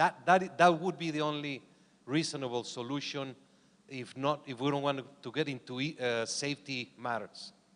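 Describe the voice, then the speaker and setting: A man's fairly high voice moves at a moderate speed, its pitch shifting in an ordinary way. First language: not English. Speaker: boxing organization official. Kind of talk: conference panel discussion. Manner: halting.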